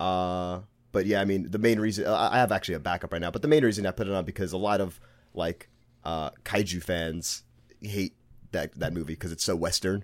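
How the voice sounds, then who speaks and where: In a Brooklyn accent, a man speaks at a fairly quick pace with a very deep, low pitch. The recording is very clean, with a silent background. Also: ordinary pitch variation. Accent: Brooklyn New York. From Brooklyn, New York. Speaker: podcast co-host guest. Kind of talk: casual chat.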